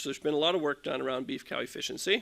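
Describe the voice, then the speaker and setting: A man does the talking. He has a bright, sharp tone. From Ontario, Canada. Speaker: livestock genetics scientist. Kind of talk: conference talk.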